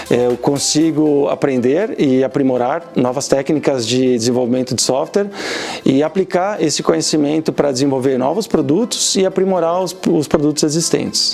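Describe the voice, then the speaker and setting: Speaking very fast, a man with a Portuguese accent uses a fairly high pitch with ordinary pitch variation. His loudness stays very even, while noticeable background noise is present. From Brazil. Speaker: automation engineer. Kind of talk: interview answers.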